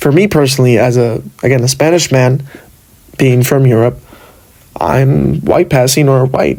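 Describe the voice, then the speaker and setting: With an American accent, a man keeps his loudness very even while taking long, frequent pauses. Noticeable background noise runs through the clip. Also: medium pitch for a man, ordinary pitch variation, moderate pace. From Los Angeles, US. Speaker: podcaster. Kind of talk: solo podcast monologue. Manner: hesitant, many fillers.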